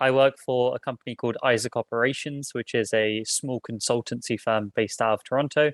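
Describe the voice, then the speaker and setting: On a very clean recording with a silent background and a dry, close sound with no echo, a man with a British accent speaks at a fairly quick pace and a medium pitch with ordinary pitch variation. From Britain. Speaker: recruiter. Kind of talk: panel introduction.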